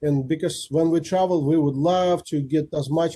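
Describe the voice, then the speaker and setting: The man's voice has a dark, mellow tone and is somewhat breathy. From Kazakhstan. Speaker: guest speaker, rotarian. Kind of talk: Q&A after presentation. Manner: fast.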